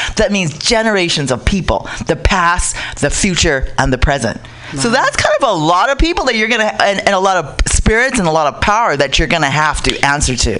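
A woman at medium pitch, fairly quick in pace, with very wide pitch swings, very even loudness, and music in the background. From Pacific Islands. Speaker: Pacific Islander activist. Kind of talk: casual radio talk.

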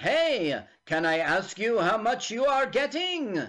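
This put-on character voice sits at a fairly high pitch with very wide pitch swings. The pace is fairly slow.

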